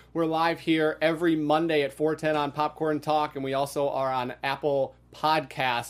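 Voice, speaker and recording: A man speaks with an American accent at a moderate pace. His pitch is fairly high, and the recording is very clean, with a silent background. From US Midwest, Wisconsin. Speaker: podcast host. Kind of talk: interview.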